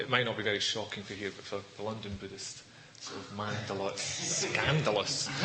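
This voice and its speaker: Over noticeable background noise and audible room echo, a man with a Scottish accent talks fairly quickly at a fairly low pitch. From Scotland. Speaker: Buddhist teacher. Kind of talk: dharma talk. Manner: fast; clearly enunciated.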